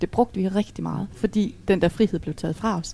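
Her voice dark, mellow and somewhat breathy, a woman with a medium pitch talks at a moderate pace with ordinary pitch variation. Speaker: widow. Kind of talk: casual chat. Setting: restaurant.

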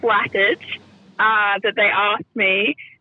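Someone with an Australian accent speaks at a fairly slow pace over noticeable background noise. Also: woman. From Perth, Western Australia. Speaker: radio presenter. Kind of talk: casual interview chat.

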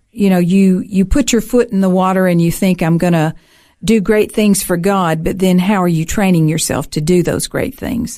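A woman of medium pitch speaks with a Southern US accent on a very clean recording with a silent background. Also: ordinary pitch variation, moderate pace. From US South, Alabama. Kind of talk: casual interview.

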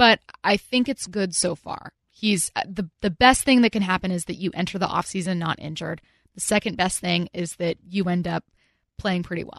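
In a plain, everyday voice, a woman at medium pitch talks at a moderate pace with ordinary pitch variation and big swings in loudness, the sound dry and close with no echo against a quiet background. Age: 30s. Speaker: radio sports host. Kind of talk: radio host patter, sports analysis and jokey banter. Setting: radio studio.

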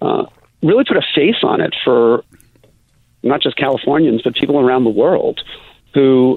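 In an American accent, a man speaks with an unremarkable speaking voice at a fairly high pitch. He keeps a moderate pace. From US Midwest, Chicago. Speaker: city council member and LGBTQ activist. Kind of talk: interview. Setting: phone call.

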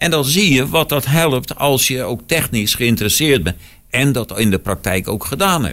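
At a moderate pace, a man speaks with a medium pitch and very wide pitch swings. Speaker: podcast co-host. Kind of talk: casual chat.

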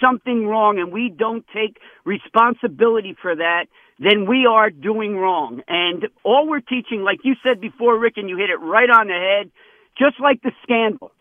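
Here a man with a high pitch speaks at a moderate pace with ordinary pitch variation. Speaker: caller. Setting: phone call.

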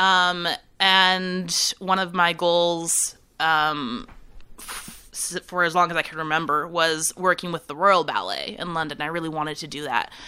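A woman with an American accent, fairly low in pitch and bright, sharp in tone, at a fairly slow pace with fairly even intonation and big swings in loudness, on a very clean recording with a silent background. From California, San Francisco Bay Area. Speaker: fashion designer and business owner. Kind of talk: casual interview. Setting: office parlor room.

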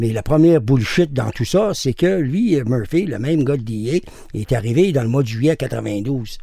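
Lively intonation marks this man's delivery at a moderate pace. There is a somewhat breathy quality to it. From Quebec. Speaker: former mercenary pilot and drug smuggler. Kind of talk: interview.

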